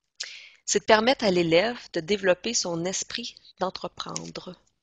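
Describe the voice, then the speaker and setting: A woman's plain, everyday voice at medium pitch with ordinary pitch variation. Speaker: education trainer. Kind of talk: training presentation.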